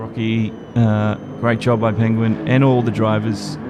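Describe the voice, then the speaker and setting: A man with an Australian accent at medium pitch, amid noticeable background noise and audible room echo. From Australia, Brisbane. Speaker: esports race commentator. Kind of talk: live commentary. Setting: live stream.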